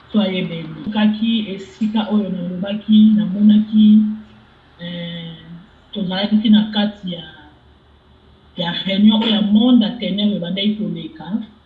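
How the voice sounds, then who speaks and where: With a Congolese accent, a woman at a medium pitch speaks at a moderate pace with fairly even intonation and a somewhat breathy quality, leaving long, frequent pauses and shifting widely in loudness. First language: Lingala. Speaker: testimony giver. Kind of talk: testimony.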